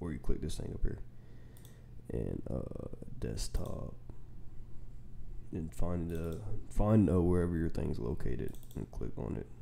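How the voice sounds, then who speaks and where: A man speaks with a very deep, low pitch at a fairly slow pace. His intonation is lively. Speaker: game developer tutorial creator. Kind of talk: tutorial. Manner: heavy breathing audible.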